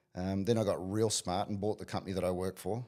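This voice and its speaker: The speech moves at a very fast pace with fairly even intonation. Noticeable background noise sits behind it. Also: man. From New Zealand, small town. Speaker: business coach. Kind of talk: interview.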